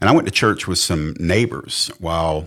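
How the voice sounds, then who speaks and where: A man with a Southern US accent and a very deep, low pitch, on a very clean recording with a silent background. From US South. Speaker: pastor and author. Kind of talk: testimony. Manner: intense.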